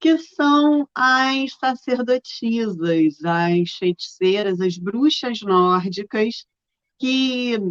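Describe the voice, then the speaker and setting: A woman speaks with a fairly high pitch. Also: dry, close sound with no echo. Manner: calm, soothing.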